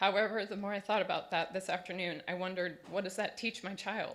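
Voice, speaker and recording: The voice is shaky and nervous in tone, moving at a fairly quick pace. Its intonation stays monotone and flat. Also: woman. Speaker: parent speaking at public comment. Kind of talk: public comment testimony. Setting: school board meeting. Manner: shaky, nervous delivery.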